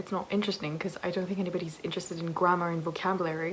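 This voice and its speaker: A woman's medium-pitched, monotone and flat delivery comes through noticeable background noise. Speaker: university student vlogger. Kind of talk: casual vlog narration. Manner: hesitant with fillers.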